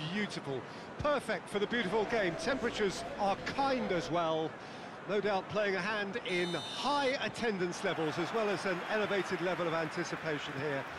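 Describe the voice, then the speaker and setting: Over noticeable background noise, a man with a high voice speaks at a moderate pace with lively intonation and very even loudness. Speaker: football play-by-play commentator. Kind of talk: live football play-by-play commentary, terse calls of the passing action. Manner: brisk clipped play-by-play bursts, rising with the action; florid, polished scene-setting in a broadcast tone.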